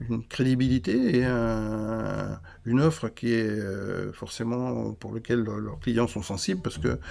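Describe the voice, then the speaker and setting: With a dark, mellow tone, a man of medium pitch speaks at a very slow pace. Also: ordinary pitch variation. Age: 60s. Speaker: cheesemaker and business founder. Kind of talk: interview conversation. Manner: halting, many repetitions.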